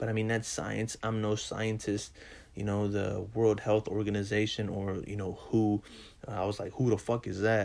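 The pitch is fairly low for a man. He talks at a moderate pace. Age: 20s. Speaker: podcast host. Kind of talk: casual monologue. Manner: animated.

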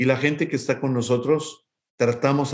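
A man with a Mexico City accent and fairly even intonation. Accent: Mexican Spanish (Mexico City). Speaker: music academy executive. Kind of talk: interview.

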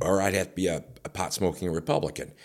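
A man with a very deep, low pitch and an Upper Midwest accent. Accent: Upper Midwest American. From northern Illinois (Rockford). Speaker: radio personality and promoter. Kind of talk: casual chat. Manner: animated.

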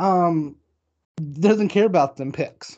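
Ordinary pitch variation carries the voice over a quiet background. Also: man. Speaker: sports podcast co-host. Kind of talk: casual chat. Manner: halting.

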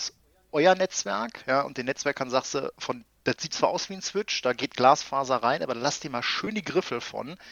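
Here a man with a fairly high pitch uses a plain, everyday voice with ordinary pitch variation. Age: 30s. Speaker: IT infrastructure consultant. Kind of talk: casual chat.

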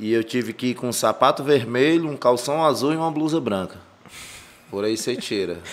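He has an unremarkable speaking voice at a medium pitch. This man keeps a moderate pace with ordinary pitch variation. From Brazil, Ceará (Fortaleza / Maracanaú). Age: 30s. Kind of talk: casual chat.

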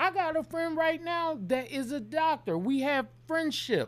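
A man speaks loudly at an extremely high pitch. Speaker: podcast co-host. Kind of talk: casual chat.

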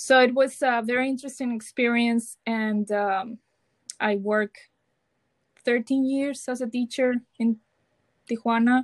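Against a quiet background with a dry, close sound and no echo, a woman with a Mexican accent speaks in a high, monotone voice with flat intonation, at a fairly slow pace with long, frequent pauses. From Mazatlan, Sinaloa, Mexico. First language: Spanish. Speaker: Spanish teacher and doctoral student. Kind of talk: casual interview chat.

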